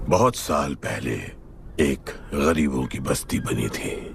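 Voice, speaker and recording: A man's raspy put-on character voice, very deep and low, at a very slow pace with ordinary pitch variation and clear background noise. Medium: short film. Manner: terse, grave.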